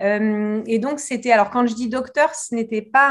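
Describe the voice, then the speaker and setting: A woman with fairly even intonation on a very clean recording with a silent background. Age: 40s. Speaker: reiki teacher and hypnotherapist. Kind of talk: interview. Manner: halting, repeats words.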